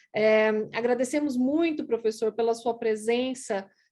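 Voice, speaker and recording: A woman at a fairly slow pace, with ordinary pitch variation, against a quiet background. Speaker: law professor. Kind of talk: formal welcome speech. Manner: hesitant with fillers.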